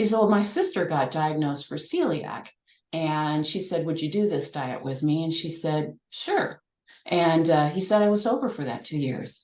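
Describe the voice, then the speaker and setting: A normal speaking voice from a woman with a fairly low pitch, lively intonation and a moderate pace. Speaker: nutrition and recovery coach. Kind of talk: online forum presentation.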